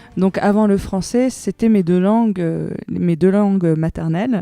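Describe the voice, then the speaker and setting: A dark, mellow tone at a fairly slow pace, with ordinary pitch variation, a dry, close sound with no echo, and a quiet background. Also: woman. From Iran. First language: Persian (speaking French). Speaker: singer-songwriter. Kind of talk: interview. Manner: hesitant, many fillers.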